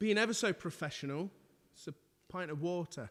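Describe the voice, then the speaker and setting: The speaker talks with an English accent. The intonation is lively. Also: man. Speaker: musician, violinist and pianist. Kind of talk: casual live stream chat. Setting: live stream from home lounge. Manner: loud.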